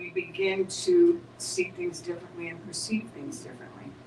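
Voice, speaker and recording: A woman at a medium pitch with lively intonation, over noticeable background noise. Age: 70s. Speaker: spiritual teacher. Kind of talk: spiritual group discussion. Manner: halting, with many repeated words.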